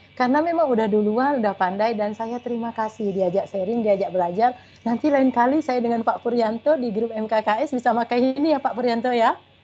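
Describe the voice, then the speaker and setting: A woman's fairly high voice with ordinary pitch variation, very fast with hardly any pauses, over music in the background. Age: 40s. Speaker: school principal. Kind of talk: webinar talk. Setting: video call.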